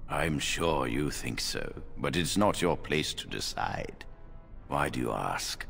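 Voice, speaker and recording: A man puts on a character voice at a fairly slow pace, with clear background noise behind him. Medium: video game. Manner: measured, authoritative.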